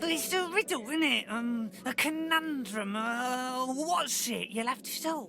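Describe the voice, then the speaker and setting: A put-on character voice, high in pitch and fairly slow, with clear background noise behind it. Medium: actual play. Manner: sarcastic.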